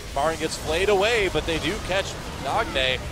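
Noticeable background noise sits under a man speaking with lively intonation. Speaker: esports commentator. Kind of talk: live esports play-by-play commentary, rapid calls of fights and kills. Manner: fast, excitable play-by-play with sudden exclamations; rapid-fire clipped calls naming player after player.

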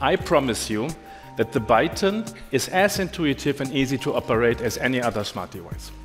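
A man talks at a moderate pace while music sounds faintly behind him. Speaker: presenter. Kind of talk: product launch keynote. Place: stage. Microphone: headset.

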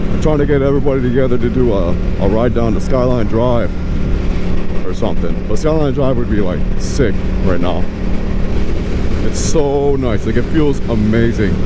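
The speech moves at a moderate pace with long, frequent pauses, the sound dry with no echo against loud background noise. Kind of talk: casual vlog chat. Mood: relaxed, cheerful, swearing casually. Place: motorbike. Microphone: helmet.

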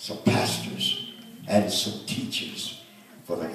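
Over audible room echo, a man talks at a moderate pace. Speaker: minister at consecration. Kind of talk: sermon. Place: church.

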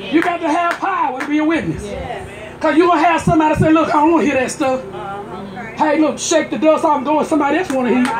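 Over noticeable background noise, a woman talks at a very fast pace and high pitch with ordinary pitch variation. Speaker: pastor. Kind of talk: sermon at a tent revival, call-and-response preaching. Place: tent.

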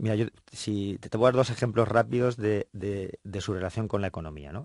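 A man talks at a fairly quick pace with a fairly low pitch and ordinary pitch variation, his dry sound with no echo set in a quiet background. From Spain. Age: 40s. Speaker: politician. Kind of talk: radio interview. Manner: halting. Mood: friendly, smiling. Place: studio. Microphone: studio mic.

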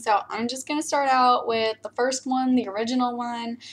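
At a moderate pace, a woman talks at a fairly high pitch. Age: 20s. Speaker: youtuber. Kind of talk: reaction video. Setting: webcam at computer. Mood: amused, playful. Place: home room. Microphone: webcam.

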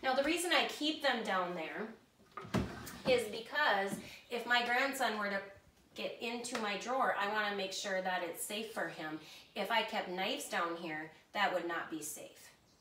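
Long, frequent pauses break up a woman's moderately paced speech, with audible room echo and light background noise. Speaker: home cook demonstrating kitchen items. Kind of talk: tutorial. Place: kitchen. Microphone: camera far.

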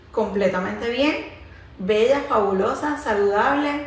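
Ordinary pitch variation with audible room echo. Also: woman. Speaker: wellness vlogger. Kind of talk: casual vlog chat. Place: home room.

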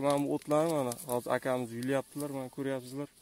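A man at a very fast pace, fairly even in intonation, with a dry sound and no echo. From Uzbekistan, Jizzakh; Uzbekistan. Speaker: YouTuber; vlogger filming a farm visit. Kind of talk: casual vlog interview. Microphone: phone near.

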